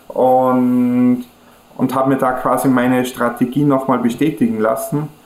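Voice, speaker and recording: A man speaks with an Austrian accent in a monotone, flat way, at a fairly slow pace and very even loudness. Noticeable background noise runs behind him. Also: medium pitch for a man. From Austria, Kufstein area near German border. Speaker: e-learning company founder. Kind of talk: interview.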